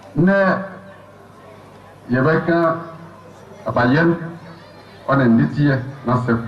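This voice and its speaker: There is noticeable background noise and audible room echo. Over it, a man talks with a fairly high pitch and ordinary pitch variation. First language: Brong (Abron) (speaking French). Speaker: community speaker at official ceremony. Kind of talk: formal speech. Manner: formal.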